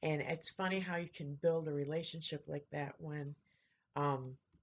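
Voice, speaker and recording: A woman speaks in a very deep, low pitch with a somewhat breathy voice. Her pace is fairly slow and her intonation monotone and flat. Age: 50s. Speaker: vlogger. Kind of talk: casual chat.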